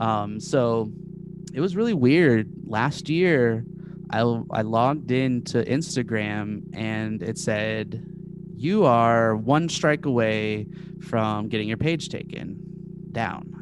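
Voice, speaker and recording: A man's medium-pitched voice with lively intonation at a very slow pace, with music in the background and audible room echo. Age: 30s. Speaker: social media meme page creator. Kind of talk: casual chat.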